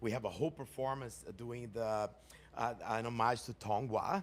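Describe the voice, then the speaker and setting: At a moderate pace, a man with a Portuguese accent talks in an animated tone. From Brazil. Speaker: performer. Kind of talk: audience question at town hall.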